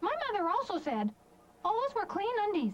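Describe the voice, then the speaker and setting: A woman puts on a squeaky character voice at an extremely high pitch. She moves at a moderate pace with very wide pitch swings. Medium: audio drama. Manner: rambling, earnest.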